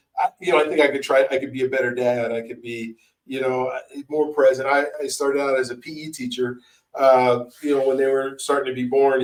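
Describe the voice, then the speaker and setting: A man speaks at a fairly quick pace. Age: 50s. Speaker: podcast host. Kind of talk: casual chat. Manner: halting.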